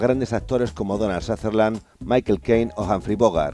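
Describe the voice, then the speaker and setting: Over music in the background, a man talks at a moderate pace. His fairly low pitch shows ordinary variation. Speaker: TV news reporter. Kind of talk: TV news report narration.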